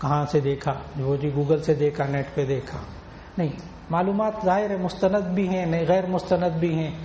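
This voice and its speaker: A man talks, his pitch moving in an ordinary way, while noticeable background noise carries on behind him. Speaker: Islamic scholar giving a sermon. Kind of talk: religious sermon (bayan) to an audience.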